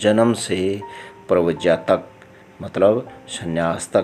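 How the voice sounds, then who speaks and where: Speaking in a Haryana accent with fairly even intonation, a man uses a very deep, low pitch while music plays in the background. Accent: Haryanvi. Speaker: lawyer. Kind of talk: religious book narration in dialect.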